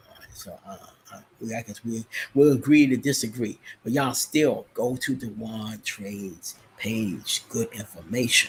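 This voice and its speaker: Big swings in loudness run through this man's medium-pitched voice. He keeps a moderate pace with ordinary pitch variation. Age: 50s. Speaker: trading educator. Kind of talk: live stream chat. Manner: casual, halting with many fillers.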